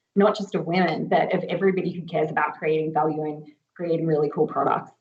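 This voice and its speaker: A woman speaks very fast in a fairly low voice with monotone, flat intonation. Audible room echo surrounds her. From Australia. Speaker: agile coach. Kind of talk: conference panel talk.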